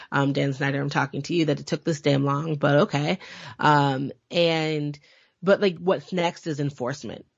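With an American accent, a woman speaks at a moderate pace in a very deep, low voice with fairly even intonation. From US, western Massachusetts. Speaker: historian and professor. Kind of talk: casual interview conversation.

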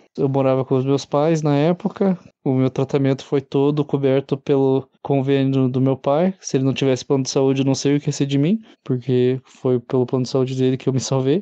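A man talks at a moderate pace and medium pitch, with fairly even intonation and very even loudness. His tone is dark and mellow, in a dry, close sound with no echo. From Curitiba, Brazil. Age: 20s. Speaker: cancer survivor. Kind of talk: testimony.

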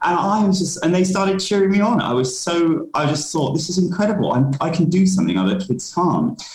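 Over noticeable background noise, a man speaks at a fairly quick pace with hardly any pauses, in a high pitch with ordinary pitch variation and very even loudness. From London, England. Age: 30s. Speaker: diversity and inclusion consultant. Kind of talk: interview.

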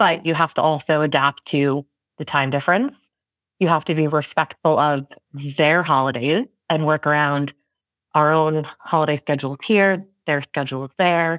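A woman with an American accent speaks in a very deep, low pitch with fairly even intonation. The sound is dry and close, with no echo. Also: very clean recording, silent background. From New York City. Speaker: events director. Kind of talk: podcast interview. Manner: fast talker.

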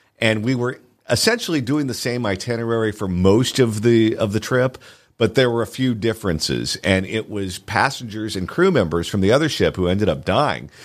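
A man with an American accent has a normal speaking voice at a medium pitch, with ordinary pitch variation. He talks at a fairly quick pace in a very clean recording with a silent background. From Southern California. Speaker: radio host. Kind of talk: casual chat. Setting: studio.

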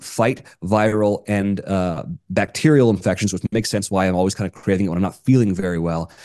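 A man talks at a fairly quick pace in a dark, mellow tone. The background is quiet. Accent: American. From US South. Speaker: podcast host. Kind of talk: casual chat.

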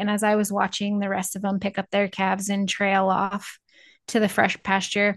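A woman speaks with a Midwestern American accent. The background is quiet. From Northeast Nebraska. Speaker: cattle rancher and podcaster. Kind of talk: casual chat.

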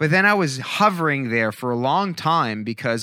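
Bright and sharp in tone, a man's medium-pitched voice moves at a fairly quick pace with lively intonation on a very clean recording with a silent background. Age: 40s. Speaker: podcaster and motivational speaker. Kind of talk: casual interview chat. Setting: studio. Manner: halting, many repetitions.

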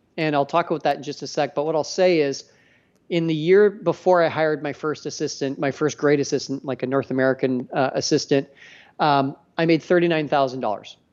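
A man with a Canadian accent and a plain, everyday voice talks at a fairly high pitch and a fairly quick pace with fairly even intonation. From Canada, Edmonton area. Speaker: business coach for delegation and assistants. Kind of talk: podcast interview.

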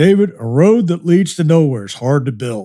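Using a put-on character voice, a man talks at a moderate pace in a fairly high pitch. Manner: slow, folksy, wise.

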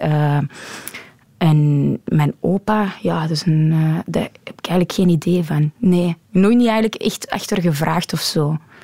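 Over noticeable background noise, a woman speaks at a fairly slow pace with a fairly low pitch, the sound dry and close with no echo. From Antwerp, Belgium (Deurne). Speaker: forklift driver. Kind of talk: interview. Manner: halting.

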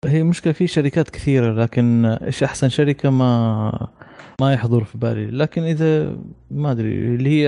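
A man speaks in a medium pitch. His tone is dark and mellow. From Saudi Arabia, Jeddah. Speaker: architect, tech podcast panelist. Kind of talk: casual chat.

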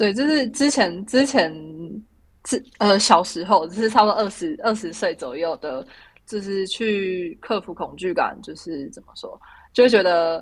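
With lively intonation, a woman talks at a moderate pace and medium pitch. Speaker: Olympic luge athlete. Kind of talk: interview. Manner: halting, many fillers.

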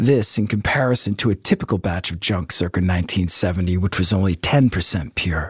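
A man with a very deep, low pitch speaks at a moderate pace in a solemn, dramatic tone, somewhat breathy, with ordinary pitch variation. The sound is dry and close with no echo, and the recording is very clean over a silent background. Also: hardly any pauses. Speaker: podcast narrator. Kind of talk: true-crime narration, scripted storytelling. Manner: dramatic, suspenseful, measured pacing; solemn, ominous tone.

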